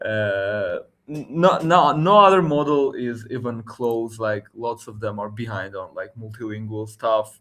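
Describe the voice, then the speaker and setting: A medium-pitched man with an Armenian accent, fairly slow but with hardly any pauses, lively intonation and big swings in loudness. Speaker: tech livestream host. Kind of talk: casual tech chat. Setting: livestream.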